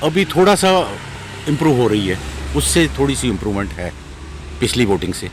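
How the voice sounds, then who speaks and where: With very wide pitch swings and long, frequent pauses, a man speaks over noticeable background noise. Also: medium pitch for a man, moderate pace. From Kashmir. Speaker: election volunteer. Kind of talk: street interview.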